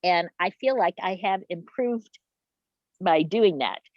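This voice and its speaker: A woman with an ordinary speaking voice, medium pitch and ordinary pitch variation. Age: 60s. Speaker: patient attendee asking questions. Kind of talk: Q&A at chapter meeting.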